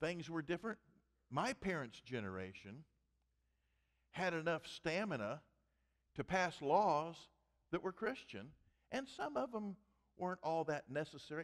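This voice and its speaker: A fairly high-pitched male voice with very wide pitch swings and long, frequent pauses, against a quiet background. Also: moderate pace. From US Midwest (Missouri). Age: 70s. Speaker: pastor. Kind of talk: sermon. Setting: church. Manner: humorous. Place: church.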